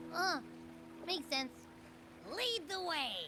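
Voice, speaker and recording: Doing a put-on character voice at an extremely high pitch, a woman speaks over clear background noise. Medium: video game. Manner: casual, chatty.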